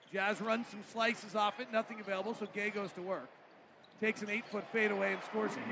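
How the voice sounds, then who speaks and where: A man speaks very fast in a raised, projected voice, his pitch high for a man and his tone animated, over noticeable background noise. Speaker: radio play-by-play announcer. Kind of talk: live play-by-play basketball commentary. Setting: arena broadcast. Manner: rapid-fire, clipped play-by-play delivery; animated, rising pitch on big plays.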